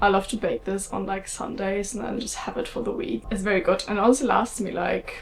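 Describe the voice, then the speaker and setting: With noticeable background noise, a woman speaks in a German accent. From Germany. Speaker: vlogger. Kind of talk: casual vlog talk. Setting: at home.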